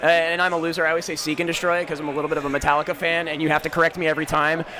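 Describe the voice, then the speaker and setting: A man's fairly high, monotone voice at a very fast pace, flat in intonation, with noticeable background noise. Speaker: esports caster. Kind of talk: live commentary. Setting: casting desk at live event. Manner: loud.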